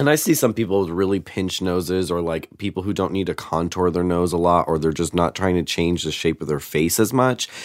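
At a fairly quick pace, a man with a very deep, low pitch speaks with ordinary pitch variation. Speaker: drag performer and makeup artist. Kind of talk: casual chat. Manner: animated, profane.

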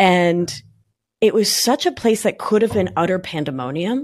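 In a normal speaking voice with an American accent, the speaker moves at a fairly slow pace with lively intonation on a very clean recording with a silent background. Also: woman. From Argentina (Buenos Aires), raised partly in New York. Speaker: somatic life coach and nurse practitioner. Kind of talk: podcast interview.

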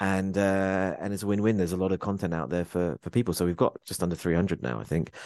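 A man with a very deep, low pitch, a very fast pace and hardly any pauses against a quiet background. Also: ordinary pitch variation. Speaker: tech company managing director. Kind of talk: interview.

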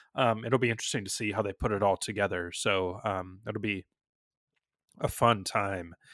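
A plain, everyday voice from a man, dry and close with no echo, with ordinary pitch variation at a moderate pace. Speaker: podcast host and editor. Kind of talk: casual chat.

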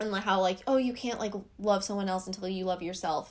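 Using a normal speaking voice, this woman holds a medium pitch and keeps her intonation fairly even. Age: 20s. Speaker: beauty influencer. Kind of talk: casual chat.

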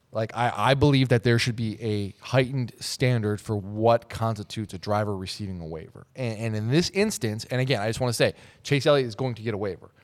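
On a very clean recording with a silent background, a man with an American accent and an ordinary speaking voice talks at a fairly quick pace, with hardly any pauses and ordinary pitch variation. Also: medium pitch for a man. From Minnesota, Twin Cities. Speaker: motorsports journalist. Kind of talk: casual chat.

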